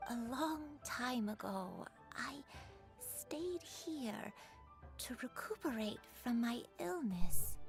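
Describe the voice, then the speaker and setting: A woman's put-on character voice, fairly high-pitched and very slow, over clear music in the background. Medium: game stream. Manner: hesitant, soft.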